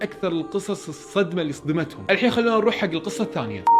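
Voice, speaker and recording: Music plays behind a man who talks very fast in a high voice. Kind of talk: horror story narration. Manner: casual, conversational.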